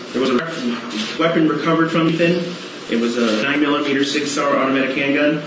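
The talking moves at a fairly quick pace, with audible room echo and noticeable background noise. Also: man. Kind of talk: formal testimony read aloud. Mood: flat, somber, measured. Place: hall. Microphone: podium.

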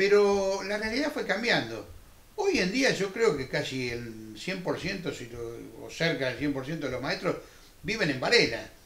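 This man's high voice moves through very wide pitch swings at a very slow pace, with audible room echo around it. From Argentina. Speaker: TV interviewer, former teacher. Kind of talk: TV interview. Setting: studio. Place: studio. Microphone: lapel.

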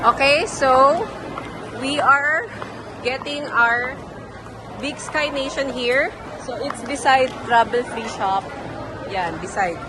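Over crowd noise and audible room echo, a woman projects her high-pitched voice with lively intonation, speaking very slowly with long, frequent pauses. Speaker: travel vlogger. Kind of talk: casual vlog narration. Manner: animated.

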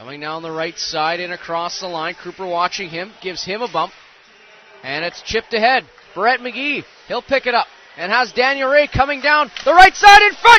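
Over noticeable background noise, a man with a high voice talks at a moderate pace in an animated tone, his pitch swinging very widely and his loudness rising and falling sharply. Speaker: hockey play-by-play commentator. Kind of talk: live sports commentary. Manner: excitable, animated on saves and goals.

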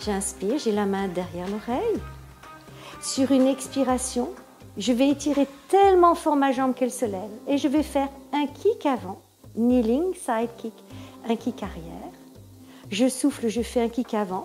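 Over faint music in the background, a woman with a high-pitched voice talks at a fairly slow pace with long, frequent pauses. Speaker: pilates instructor. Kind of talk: exercise class instruction. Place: home room.

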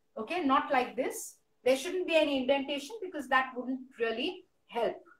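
A woman speaks at a fairly slow pace in a high voice, with audible echo from the room. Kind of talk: tutorial. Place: home room. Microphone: phone near.

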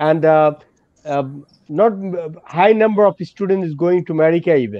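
Against a quiet background, a man with a Bangladeshi accent talks with ordinary pitch variation, the sound dry with no echo. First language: Bengali. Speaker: education consultancy director; host director of counselling event. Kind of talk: live webinar Q&A. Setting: video call. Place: office. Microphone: video call.

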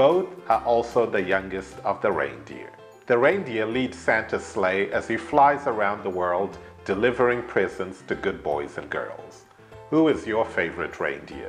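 Faint music plays behind a man with a British accent. He talks at a moderate pace. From United Kingdom. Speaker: English teacher. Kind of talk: ESL lesson to camera. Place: studio. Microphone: lapel.

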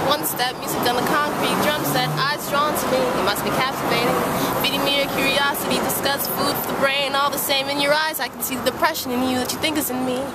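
Loud background noise runs under fairly quick speech with an American accent. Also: woman, dry sound with no echo. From Brooklyn, New York. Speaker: street poet. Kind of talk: spoken word poetry. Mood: calm, sincere, sometimes smiling. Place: street. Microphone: phone near.

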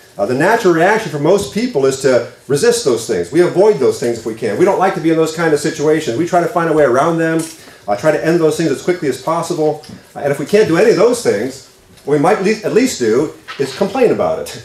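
A man talks at a very fast pace with lively intonation, and audible room echo surrounds his voice. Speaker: pastor. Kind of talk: sermon. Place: church. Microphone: podium.

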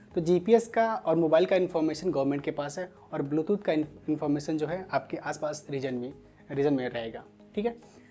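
A man speaks at a moderate pace while light background noise carries on. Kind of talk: tutorial. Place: studio. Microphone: lapel.

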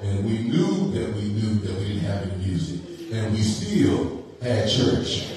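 A man speaks fairly slowly at a fairly low pitch. Music plays in the background, and the room echo is strong. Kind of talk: service announcements turning to preaching. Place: church.

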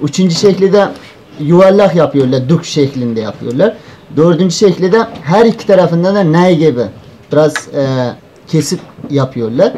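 Against light background noise, a man with a high voice speaks at a fairly slow pace with lively intonation. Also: very even loudness. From northern Afghanistan (Uzbek community). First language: Uzbek (speaking Turkish). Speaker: student presenter; presenter. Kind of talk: conference paper presentation. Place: hall. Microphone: handheld.

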